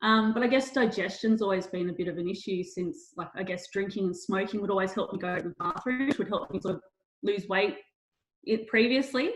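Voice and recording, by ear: Her pace is fairly quick. This woman has a medium pitch with ordinary pitch variation.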